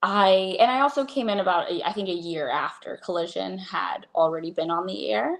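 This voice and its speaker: A woman at medium pitch and moderate pace, vocal fry, very wide pitch swings and hardly any pauses. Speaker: ring announcer. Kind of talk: interview answer.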